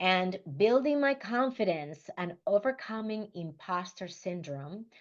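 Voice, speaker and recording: A woman speaks with a Spanish accent and lively intonation. The background is quiet. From Dominican Republic. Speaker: leadership coach. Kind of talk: motivational talk.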